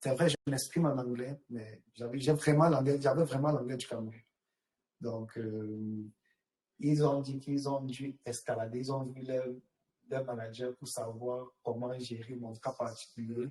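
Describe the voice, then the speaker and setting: At a fairly slow pace with long, frequent pauses, a man speaks in a medium pitch. His tone is dark, mellow and somewhat breathy, and his intonation fairly even. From Cameroon. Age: young. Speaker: actuary. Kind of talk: interview.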